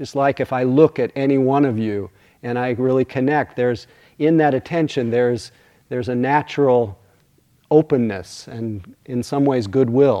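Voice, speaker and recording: This man's voice sits at a medium pitch, with a soothing, gentle, dark and mellow tone and ordinary pitch variation. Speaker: meditation teacher. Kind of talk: guided meditation, then dharma talk. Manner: soothing, slow, gentle pacing; warm, hushed, unhurried.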